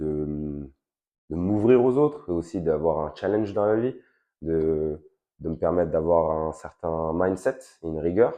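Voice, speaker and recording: A man with a very deep, low pitch talks at a fairly slow pace. His pitch varies in an ordinary way, and he pauses long and often. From Paris suburbs, France (Val-de-Marne). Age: 20s. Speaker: fitness coach and gym owner. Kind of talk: interview. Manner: hesitant, many fillers.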